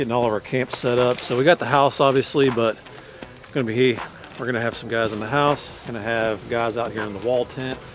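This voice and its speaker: Against noticeable background noise, a man with an Appalachian accent talks at a fairly quick pace with a medium pitch, fairly even intonation and big swings in loudness. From north central West Virginia. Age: 30s. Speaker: hunter. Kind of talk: casual vlog talk.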